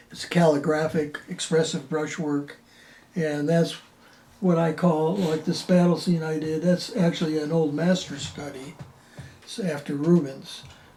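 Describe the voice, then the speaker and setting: Music plays in the background as the speaker, with an American accent, talks at a fairly slow pace with fairly even intonation. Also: man, fairly high pitch for a man. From Buffalo, New York. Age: 80s+. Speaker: painter. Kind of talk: interview. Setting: artist's studio. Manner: halting, with frequent fillers.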